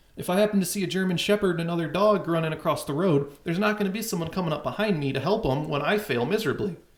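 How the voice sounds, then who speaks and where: Very fast speech with hardly any pauses plays over noticeable background noise. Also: man, high pitch for a man, ordinary pitch variation. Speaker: call-in show host. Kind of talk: casual chat. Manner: twitchy.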